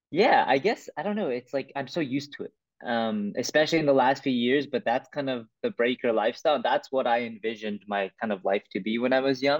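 A man at medium pitch with a Canadian accent, fairly quick, hardly pausing, with ordinary pitch variation. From Vancouver, Canada. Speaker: breakdancer. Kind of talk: interview. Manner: hesitant with many fillers.

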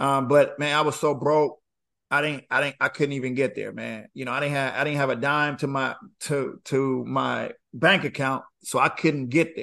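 A man's unremarkable speaking voice, fairly high in pitch, at a moderate pace against a quiet background. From Panama, moved to Los Angeles in seventh grade. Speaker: former pro basketball player and author. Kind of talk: interview.

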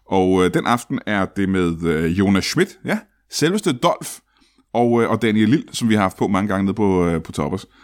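On a very clean recording with a silent background, a man with an unremarkable speaking voice talks at a moderate pace, fairly low in pitch with ordinary pitch variation. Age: 40s. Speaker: comedian and podcast host. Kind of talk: live improv comedy show. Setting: stage with audience.

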